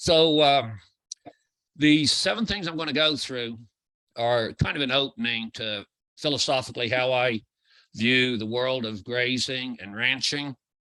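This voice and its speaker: A man with a bright, sharp tone and a medium pitch talks at a fairly slow pace, with ordinary pitch variation and long, frequent pauses. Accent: American. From US Midwest, Illinois. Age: 60s. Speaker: grazing consultant. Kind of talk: lecture. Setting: video call.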